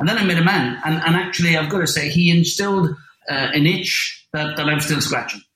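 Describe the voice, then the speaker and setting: A man speaks at a fairly quick pace in an Irish accent. His pitch sits fairly high. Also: ordinary pitch variation. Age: 50s. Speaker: landscape photographer. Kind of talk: interview. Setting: remote call.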